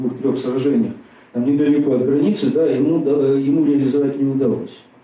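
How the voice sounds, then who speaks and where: Here is a man with a plain, everyday voice. His pitch is fairly high and his pace fairly quick. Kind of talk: lecture. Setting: stage with audience. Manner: conversational, many fillers.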